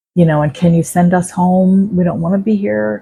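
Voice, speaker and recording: This somewhat breathy voice has a dark, mellow tone and ordinary pitch variation. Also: woman. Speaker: psychic medium storyteller. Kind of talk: personal storytelling monologue. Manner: conversational.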